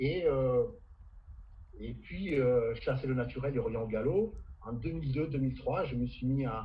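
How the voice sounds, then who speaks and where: Somewhat breathy, a man at a medium pitch speaks at a very slow pace with long, frequent pauses and ordinary pitch variation, with audible room echo. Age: 60s. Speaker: veteran windsurfer and kitesurfer. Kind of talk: casual interview.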